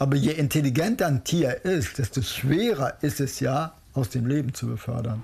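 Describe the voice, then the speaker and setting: Using an unremarkable speaking voice, a man talks at a moderate pace and a fairly high pitch with lively intonation. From Hamburg, northern Germany. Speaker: cook and sheep breeder. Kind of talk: casual documentary talk.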